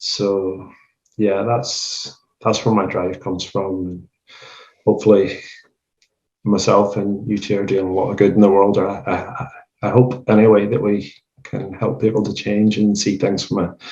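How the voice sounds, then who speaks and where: A man with a Northern Irish accent speaks in a dark, mellow tone at a fairly low pitch, moving at a moderate pace with fairly even intonation and long, frequent pauses. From Northern Ireland. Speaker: animal rights street activist. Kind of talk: casual podcast conversation.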